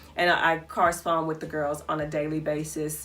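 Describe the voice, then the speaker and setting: A woman's voice with audible room echo and noticeable background noise. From US South, Albany, Georgia. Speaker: vlogger and business owner. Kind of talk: casual Q&A vlog.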